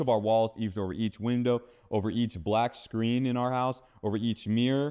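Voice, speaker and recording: At a fairly quick pace, a man with a General American accent and a medium pitch talks in a plain, everyday voice. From Phoenix, Arizona. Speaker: seer and deliverance minister. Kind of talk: testimony interview answer. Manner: casual, conversational.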